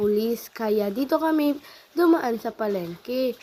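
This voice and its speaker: With lively intonation, a woman's words unfold at a fairly slow pace. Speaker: vlogger. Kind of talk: casual vlog narration.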